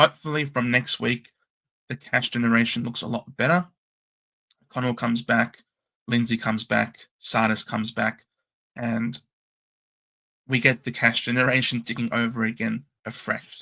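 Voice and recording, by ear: A man's put-on character voice, raspy and hoarse, in a medium pitch at a moderate pace, with monotone, flat intonation and long, frequent pauses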